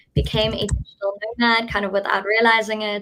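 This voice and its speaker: A woman with a South African accent talks at a fairly quick pace in a bright, sharp tone. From South Africa, Cape Town. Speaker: event organizer. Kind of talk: live webinar presentation. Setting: live stream.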